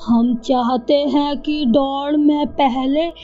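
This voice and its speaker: A put-on character voice cackles at a very slow pace. Faint music sits in the background. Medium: cartoon. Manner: gloating, cackling.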